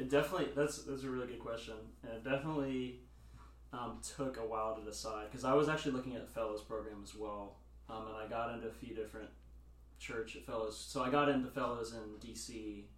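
In an American accent, a man talks at a very fast pace with big swings in loudness, over noticeable background noise and audible room echo. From US South (Nashville). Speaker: church intern. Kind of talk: casual chat.

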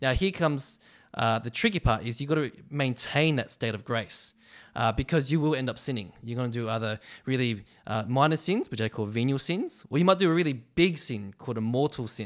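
Here a man talks in an Australian accent at a fairly quick pace with lively intonation. His pitch is medium, in a very clean recording with a silent background. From Australia, western suburbs of Melbourne. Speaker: university ministry staff worker. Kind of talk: casual interview about faith.

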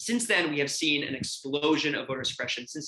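A man talks at a very fast pace with an American accent. His voice is bright, sharp, and fairly high in pitch. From New York City (Brooklyn). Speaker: voting rights advocate. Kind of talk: interview. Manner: halting, with repetitions and fillers.

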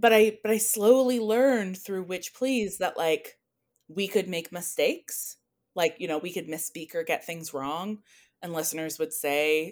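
A woman with an unremarkable speaking voice talks at a moderate pace with lively intonation. The recording is very clean, with a silent background. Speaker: scholar and podcaster. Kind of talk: casual interview conversation. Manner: thoughtful, with filler words and pauses.

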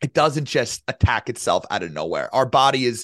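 A man talks in a normal speaking voice at medium pitch, with ordinary pitch variation and a moderate pace. The sound is dry and close with no echo, over a quiet background. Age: 30s. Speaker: genetic health coach. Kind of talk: casual chat.

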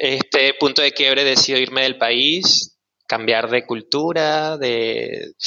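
A man with an unremarkable speaking voice, medium pitch, fairly even intonation and a fairly slow pace. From Venezuela, Maracay. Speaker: sound healer, former actor. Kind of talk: casual chat.

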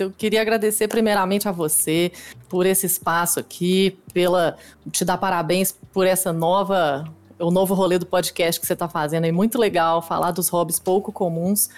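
In a normal speaking voice of medium pitch, a woman talks at a moderate pace with fairly even intonation and very even loudness. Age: 30s. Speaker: competitive dance game player. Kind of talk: casual interview chat.

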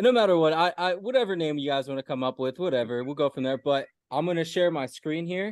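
A man talks in a normal speaking voice. His pitch sits fairly high. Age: 20s.

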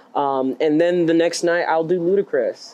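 Noticeable background noise sits behind the man, whose pitch moves in an ordinary way. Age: 30s. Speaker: drag king performer. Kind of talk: interview. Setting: live event venue. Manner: halting, many fillers.

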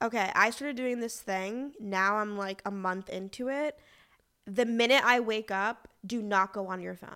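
A woman with an American accent, fairly high pitch and a bright, sharp tone at a moderate pace, fairly even intonation but big swings in loudness, on a very clean recording with a silent background. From Boston, US Northeast. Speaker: magazine editor and podcast co-host. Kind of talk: casual chat. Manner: talkative.

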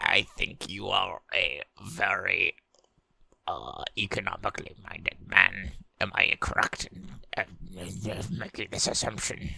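A man's raspy, put-on character voice at a fairly slow pace, with long, frequent pauses.

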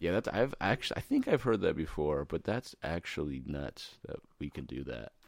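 A man speaks at a very deep, low pitch with vocal fry and a moderate pace. His pitch swings very widely, in a dry, close sound with no echo. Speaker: podcast host. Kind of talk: casual chat.

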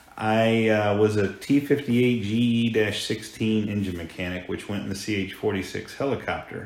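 Fairly low-pitched, a man talks at a fairly slow pace with fairly even intonation and hardly any pauses. Room echo is audible. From Hampton, Virginia, US. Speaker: insurance agency owner. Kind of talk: interview. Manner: halting.

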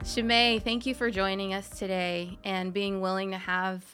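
An unremarkable speaking voice from a woman at medium pitch and fairly slow pace, on a very clean recording with a silent background. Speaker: podcast interviewer. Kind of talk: interview.

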